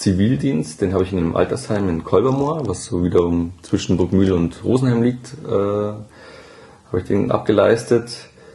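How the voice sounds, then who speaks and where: A man's fairly low voice with lively intonation over noticeable background noise. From Upper Bavaria, Germany. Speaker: emergency department nurse. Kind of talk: interview conversation. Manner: hesitant with many fillers.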